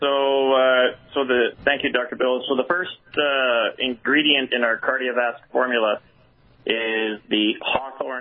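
A man in a normal speaking voice talks at medium pitch and a fairly slow pace with fairly even intonation. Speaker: product spokesperson. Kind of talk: product explanation.

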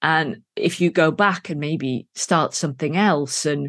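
With an English accent, a woman talks at a fairly low pitch with ordinary pitch variation, the sound dry and close with no echo and the background quiet. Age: 60s. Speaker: novelist and filmmaker. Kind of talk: interview.

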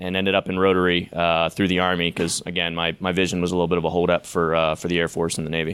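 A man with an American accent talks at a very fast pace in a very deep, low voice, with hardly any pauses. His intonation is monotone and flat, and the recording is very clean over a silent background. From Pittsburgh area, Pennsylvania. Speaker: Army veteran. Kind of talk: live storytelling to an audience. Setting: live event with audience.

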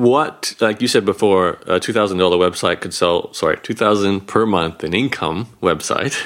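With an ordinary speaking voice, a man talks fairly quickly at a fairly low pitch and with ordinary pitch variation. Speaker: podcast host. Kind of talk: interview.

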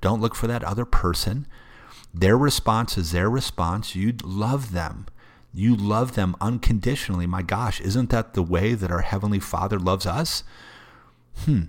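On a very clean recording with a silent background, a man with a fairly low pitch talks at a moderate pace, his pitch varying in an ordinary way. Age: 40s. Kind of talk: faith-based solo talk. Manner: casual, filler-heavy and repetitive.

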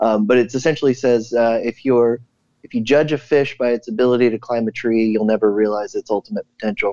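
Speaking at a fairly quick pace, a man with a medium pitch has a dark, mellow tone, fairly even intonation, and a dry, close sound with no echo. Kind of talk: casual chat.

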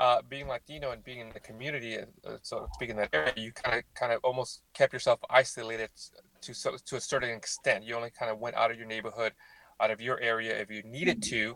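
A man at medium pitch, very fast, with a bright, sharp tone, fairly even intonation, big swings in loudness, and a dry, close sound with no echo. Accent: American. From South Central Los Angeles. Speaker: athletic trainer, consultant. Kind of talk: casual panel discussion.

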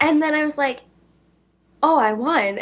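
A woman in an Upper Midwest accent talks at a moderate pace with lively intonation. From central Wisconsin, Vesper. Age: 20s. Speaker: beauty pageant titleholder. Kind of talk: interview.

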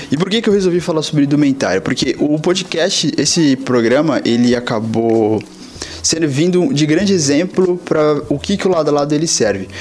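A man speaks at a moderate pace with lively intonation and very even loudness. Noticeable background noise runs behind him. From São Paulo coast, Brazil. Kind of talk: recorded voice message.

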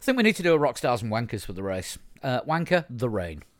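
Against a silent background on a very clean recording, a man with a Yorkshire accent speaks at medium pitch with lively intonation. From Yorkshire, northern England. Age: 50s. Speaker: podcast host. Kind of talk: casual chat.

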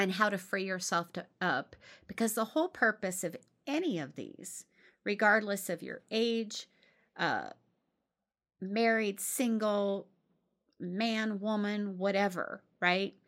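A woman speaks at a medium pitch and a very slow pace, with ordinary pitch variation and long, frequent pauses, on a very clean recording with a silent background. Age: 50s. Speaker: podcast host. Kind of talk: casual monologue.

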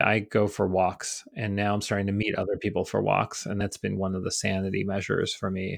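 A man with an American accent speaks at a fairly quick pace in a monotone, flat intonation, his fairly low voice running on with hardly any pauses over a quiet background. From upstate New York. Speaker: college president and artist. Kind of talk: interview.

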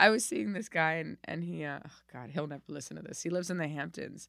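A woman's very deep, low voice at a fairly quick pace, in a very clean recording with a silent background. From Miami, Florida. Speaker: comedian. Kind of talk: casual interview chat. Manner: halting, frequent restarts.

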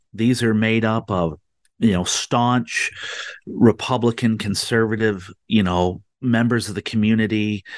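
With an American accent, a man of fairly low pitch speaks at a fairly slow pace in a dry, close sound with no echo and a quiet background. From Michigan. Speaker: political activist and group founder. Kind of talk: talk radio interview. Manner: hesitant, many fillers.

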